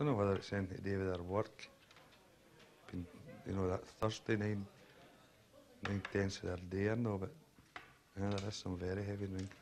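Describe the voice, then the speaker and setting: A man with a west of Scotland accent talks at a very fast pace but with long, frequent pauses, his pitch fairly low and his intonation monotone and flat. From Scotland, Kirkintilloch. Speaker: foundry worker. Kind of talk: documentary interview.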